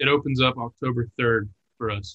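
At a fairly slow pace, a man with a West Texas accent speaks in a medium pitch with monotone, flat intonation. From Texas, Lubbock. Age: 20s. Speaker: hunter. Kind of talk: casual chat.

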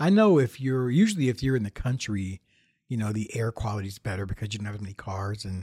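A man with an American accent talks at a fairly quick pace in a somewhat breathy, dark, mellow tone at a fairly low pitch. The recording is very clean with a silent background and a dry, close sound with no echo. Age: 50s. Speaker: podcast host and YouTube tech reviewer. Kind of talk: solo casual monologue. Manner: halting, many fillers and restarts.

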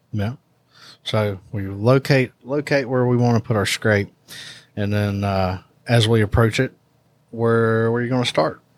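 A man talks in a Southern US accent with fairly even intonation and long, frequent pauses. The sound is dry and close, with no echo. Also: medium pitch for a man, fairly slow pace. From US South. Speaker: hunting products podcast host. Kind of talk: casual chat.

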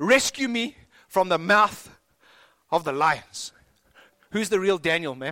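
A man speaks with a raised, projected voice at a high pitch, with lively intonation and a fairly slow pace. His long pauses come often, and the recording is very clean with a silent background. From South Africa. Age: 40s. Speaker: pastor. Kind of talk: sermon.

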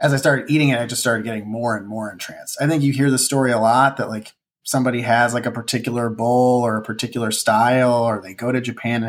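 Very fast speech comes from a man with a Chicago accent. His pitch is medium and his intonation fairly even. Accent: Chicago accent, noticeable on the A vowels. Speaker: ramen cook and cookbook author. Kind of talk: casual podcast interview.

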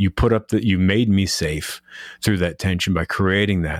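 In a very clean recording with a silent background, a man with a fairly low pitch sounds dry and close, with no echo. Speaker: podcast host. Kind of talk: casual interview.

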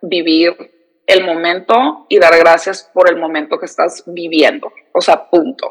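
Her pitch sits fairly low for a woman. The intonation is fairly even. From San Diego, US-Mexico border. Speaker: reporter and TV presenter. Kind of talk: casual interview chat.

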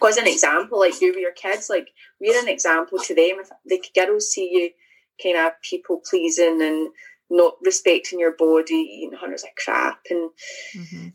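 Here a woman speaks in a Scottish accent at a moderate pace. Her loudness swings a lot. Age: 30s. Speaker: author. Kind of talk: casual chat. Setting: video call.

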